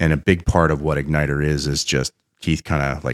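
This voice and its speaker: A man speaks with a very deep, low pitch and vocal fry. The sound is dry and close, with no echo. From Pennsylvania. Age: 50s. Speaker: business founder and innovation consultant. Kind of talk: interview storytelling. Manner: animated.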